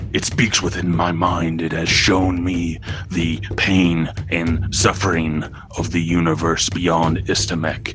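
A man's put-on character voice, very deep and low in pitch, at a fairly slow pace over loud music in the background. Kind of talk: archaic, dramatic. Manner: solemn, entranced.

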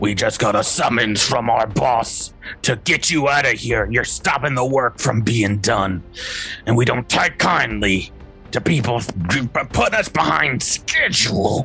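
Growling in a put-on character voice, a man speaks at a fairly slow pace and medium pitch over clear music in the background. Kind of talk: gruff, threatening.

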